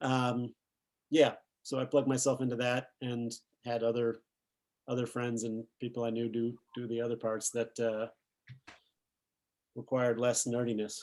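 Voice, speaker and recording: With an American accent, a man at medium pitch speaks at a moderate pace in a monotone, flat intonation, leaving long, frequent pauses. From Massachusetts. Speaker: film director. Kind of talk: interview. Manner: halting.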